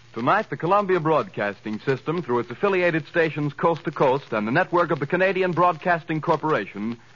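A man speaks at a fairly quick pace in a high pitch. His intonation is lively. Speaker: radio announcer. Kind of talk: old-time radio drama announcer. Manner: formal, crisp mid-Atlantic announcer delivery.

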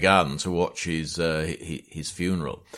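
A man's very deep, low voice in a Yorkshire accent, with monotone, flat intonation. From Yorkshire, northern England. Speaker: podcast host and battlefield historian.

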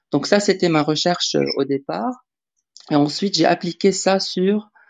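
A woman at a very slow pace, in a dry, close sound with no echo and a quiet background. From Lebanon. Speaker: AI artist and scientist. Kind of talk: interview on live audio room. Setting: online audio room.

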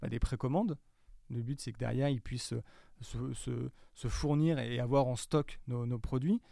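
This man talks at a moderate pace with a medium pitch and a dark, mellow tone. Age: 30s. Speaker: digital marketing manager. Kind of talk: interview. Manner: halting.

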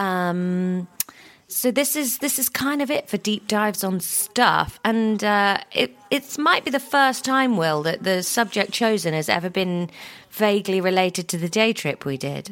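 Medium-pitched female voice in a British accent at a fairly slow pace. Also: lively intonation. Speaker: podcast co-host. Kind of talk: casual chat.

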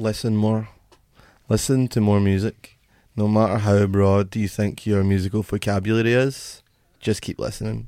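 Speaking in a Glaswegian accent at a moderate pace, a man uses a fairly low, dark, mellow voice with monotone, flat intonation on a very clean recording with a silent background. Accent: Glaswegian Scottish. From Scotland, Glasgow. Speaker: musician in a band. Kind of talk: casual interview chat.

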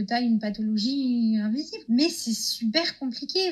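Using a normal speaking voice, a woman talks at a fairly high pitch with ordinary pitch variation. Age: 20s. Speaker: guest sharing testimony. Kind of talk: testimony.

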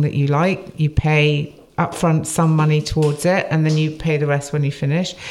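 Over noticeable background noise, a woman talks at a moderate pace in a very deep, low pitch. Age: 50s. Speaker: podcast co-host, writer and journalist. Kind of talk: casual interview chat. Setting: clinic.

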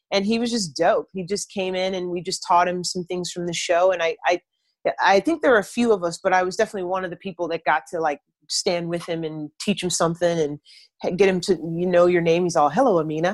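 A woman with an American accent speaks at a very fast pace in a fairly low pitch. Her intonation is fairly even, and the sound is dry and close with no echo. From US South, Atlanta, Georgia. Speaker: actor, drummer and theater director. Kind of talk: interview.

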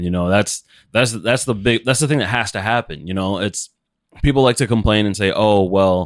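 Very fast speech comes from a man. His voice sits fairly low. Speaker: podcast co-host. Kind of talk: casual chat. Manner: monotone.

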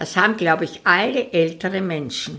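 A woman's voice with a bright, sharp tone. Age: 80s+. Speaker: retired singer. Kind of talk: interview. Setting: home dining room.

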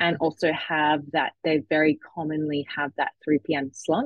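A woman speaks in an Australian accent at a fairly low pitch. Her pace is very slow. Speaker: sleep expert. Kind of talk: casual chat.

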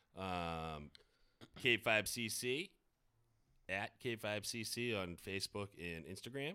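Very slow speech from a man with a fairly low pitch and a bright, sharp tone, broken by long, frequent pauses. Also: ordinary pitch variation. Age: 40s. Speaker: podcast host. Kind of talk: casual chat.

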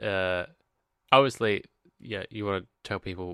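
At a moderate pace, a man speaks with a very deep, low pitch in a very clean recording with a silent background. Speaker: podcast co-host. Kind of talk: casual chat.

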